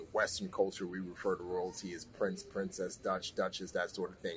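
With an American accent, a man speaks fairly quickly. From New York (the Bronx). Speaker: former Navy SEAL and actor. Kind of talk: interview.

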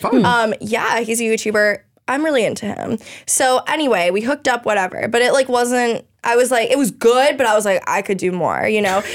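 A woman with an American accent speaks at a fairly quick pace in a plain, everyday voice. Her pitch sits fairly high and varies in an ordinary way. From South Florida (Weston, near Miami). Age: 20s. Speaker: reality TV contestant, criminal justice student. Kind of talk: casual chat.

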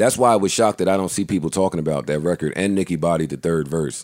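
A man speaks at a fast pace in a low voice with a slightly mellow tone and ordinary pitch variation, on a very clean recording with a silent background.

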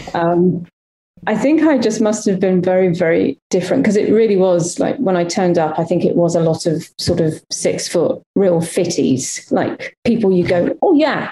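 A plain, everyday voice with lively intonation, very even loudness and a moderate pace. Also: woman, medium pitch for a woman. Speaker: actress and former game show host.

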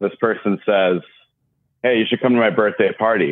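A man with an American accent. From Seattle, US Pacific Northwest. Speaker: caller. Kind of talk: casual chat. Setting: phone call.

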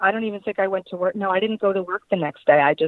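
In an ordinary speaking voice, a woman talks with an American accent. Her pitch is medium and her intonation fairly even. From Long Island, New York. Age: 30s. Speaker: guest in recovery from alcohol. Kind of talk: testimony.

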